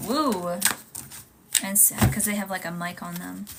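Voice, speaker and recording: A woman speaks at a moderate pace while noticeable background noise carries on behind her. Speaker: tarot reader. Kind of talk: live stream tarot reading. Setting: live stream.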